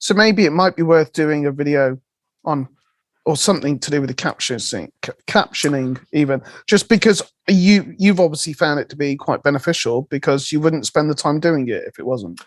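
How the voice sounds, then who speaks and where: The speaker has a West Country accent and keeps a moderate pace. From West Country, England. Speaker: podcast co-host. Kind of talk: casual chat.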